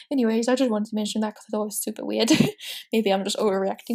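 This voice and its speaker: A woman speaks with a fairly high pitch. Her pitch varies in an ordinary way. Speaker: Sims gaming YouTuber. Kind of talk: casual commentary over gameplay. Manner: animated; fast.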